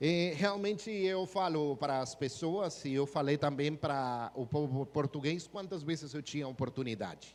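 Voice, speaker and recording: This man's voice sits fairly high, with ordinary pitch variation. His pace is moderate. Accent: Spanish. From Guatemala. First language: Spanish (speaking Portuguese). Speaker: missionary pastor. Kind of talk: sermon. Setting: church.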